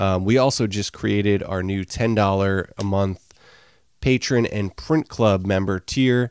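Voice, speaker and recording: On a very clean recording with a silent background, a man in a plain, everyday voice speaks at a fairly slow pace with ordinary pitch variation. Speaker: podcast co-host.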